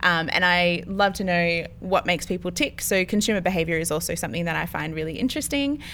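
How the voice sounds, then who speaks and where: A woman's fairly low, bright and sharp voice at a very fast pace, with lively intonation and hardly any pauses, on a very clean recording with a silent background. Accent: Australian. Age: 20s. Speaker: podcast co-host, church office worker. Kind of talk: casual chat.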